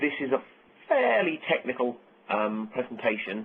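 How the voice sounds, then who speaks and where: Ordinary pitch variation marks this man's speech with an American accent. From UK. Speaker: software architect. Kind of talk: technical webcast presentation. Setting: conference call webcast.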